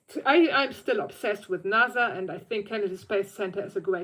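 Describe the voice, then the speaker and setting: In a German accent, a woman talks at a medium pitch. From Germany. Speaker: vlogger on theme park accessibility. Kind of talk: casual livestream chat. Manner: halting, with self-corrections.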